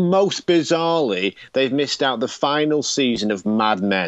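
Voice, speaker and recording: A man with an English accent speaks with very wide swings in pitch. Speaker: podcast co-host. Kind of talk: casual chat. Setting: phone call.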